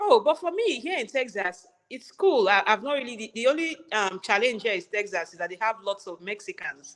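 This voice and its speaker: Delivered in a Nigerian accent at a fairly quick pace with hardly any pauses, the speech has very wide pitch swings and big swings in loudness. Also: woman, fairly high pitch for a woman. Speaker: registered nurse. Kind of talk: interview conversation.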